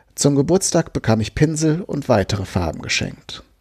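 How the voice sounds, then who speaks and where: His pitch swings very widely as the man talks. Vocal fry runs through his moderate-paced delivery. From Germany, Westphalia. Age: 40s. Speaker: recovering alcoholic memoirist. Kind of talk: reading aloud.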